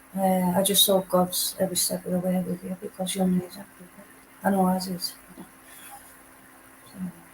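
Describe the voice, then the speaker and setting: A woman speaks with a Teesside accent in a monotone, flat intonation. Her speech has long, frequent pauses. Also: medium pitch for a woman, moderate pace. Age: 60s. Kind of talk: casual chat.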